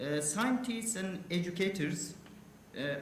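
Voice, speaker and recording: Spoken very slowly in an Afghan accent with ordinary pitch variation, the clip carries audible room echo and noticeable background noise. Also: man. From Afghanistan. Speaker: university official asking a question at a conference. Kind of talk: audience question at a conference panel. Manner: halting, many hesitations.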